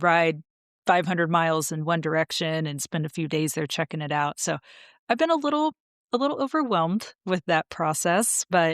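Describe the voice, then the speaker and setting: A woman with a normal speaking voice and a fairly low pitch talks with ordinary pitch variation in a dry, close sound with no echo. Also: moderate pace. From United States. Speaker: podcast co-host, motorcycle traveler. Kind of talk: casual podcast chat.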